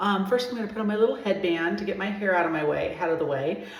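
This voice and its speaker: Audible room echo and noticeable background noise accompany a woman speaking in an American accent. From Southern California. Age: 60s. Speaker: personal stylist. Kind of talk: skincare tutorial. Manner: casual, with many fillers.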